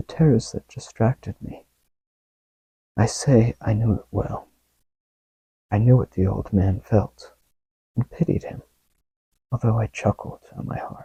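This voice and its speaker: Soft-spoken and somewhat breathy, a man of medium pitch with a dark, mellow tone talks at a fairly slow pace with ordinary pitch variation, big swings in loudness and long, frequent pauses, in a dry, close sound with no echo. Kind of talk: ASMR story reading, soft-spoken.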